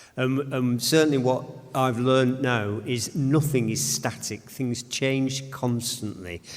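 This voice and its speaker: The voice holds fairly even intonation over noticeable background noise. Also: man, medium pitch for a man, fairly slow pace. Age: 70s. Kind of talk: panel discussion.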